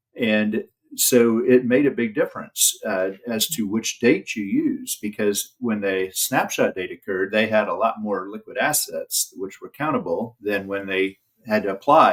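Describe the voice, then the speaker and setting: At a fairly slow pace, a man speaks with a Midwestern American accent. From Indiana, US Midwest. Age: 60s. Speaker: elder law attorney. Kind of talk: interview. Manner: halting, frequent fillers.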